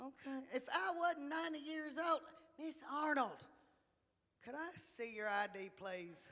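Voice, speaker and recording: With an American accent, a woman projects a raised, high-pitched voice at a fairly slow pace, her pitch swinging very widely between long, frequent pauses. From Texas, Dallas area. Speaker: comedian. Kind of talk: stand-up.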